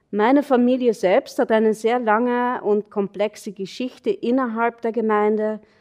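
With hardly any pauses, a woman speaks at a moderate pace and a fairly high pitch, her intonation fairly even and the sound dry and close with no echo. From Austria, Carinthia (Nockberge). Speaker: anthropologist. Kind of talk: academic lecture. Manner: hesitant, many fillers.

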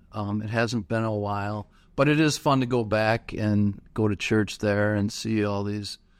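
A plain, everyday voice at a fairly slow pace with fairly even intonation, over a quiet background. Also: man, fairly low pitch for a man. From US Midwest, Milwaukee area. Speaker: church ministry director. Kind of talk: casual chat.

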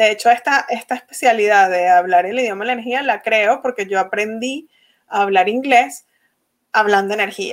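This is a woman with an unremarkable speaking voice and a fairly high pitch. She talks at a moderate pace with ordinary pitch variation. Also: very clean recording, silent background. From Venezuela. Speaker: energy-work facilitator and course creator. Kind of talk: interview.

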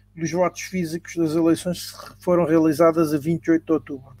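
A man with a high-pitched voice talks while music plays behind him. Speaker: podcast moderator. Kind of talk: panel discussion. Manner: halting.

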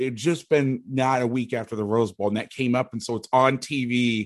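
At a moderate pace, a man with an ordinary speaking voice and an American accent talks at medium pitch with fairly even intonation. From Florida, Orlando. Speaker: football coach and defense analyst. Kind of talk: casual chat.

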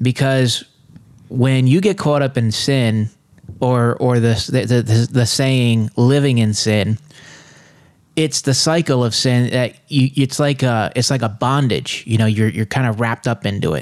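A man speaks at a fairly slow pace with a medium pitch and ordinary pitch variation. His loudness stays very even. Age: 30s. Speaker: co-host sharing recovery testimony. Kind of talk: testimony. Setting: studio. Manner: halting.

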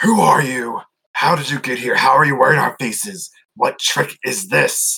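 Putting on a raspy character voice, a man talks at a moderate pace with a fairly high pitch. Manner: agitated, demanding.

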